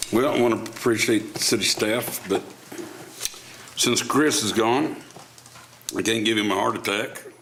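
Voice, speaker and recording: A man's medium-pitched voice with fairly even intonation, long, frequent pauses, and noticeable background noise. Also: moderate pace. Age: 60s. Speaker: city commissioner. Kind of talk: public meeting discussion.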